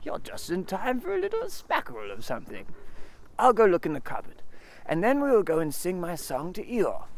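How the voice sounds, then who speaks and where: A man's high-pitched, put-on character voice at a fairly quick pace, with clear background noise. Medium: read story. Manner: simple, good-natured.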